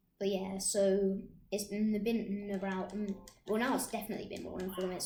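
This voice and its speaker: A woman at medium pitch, monotone and flat, fairly quick in pace, with noticeable background noise and audible room echo. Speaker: gaming youtuber. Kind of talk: gameplay commentary. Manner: halting; loud.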